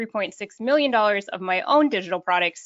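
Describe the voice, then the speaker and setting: A very fast-paced woman with a northern Minnesota accent. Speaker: online business coach. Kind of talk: webinar presentation.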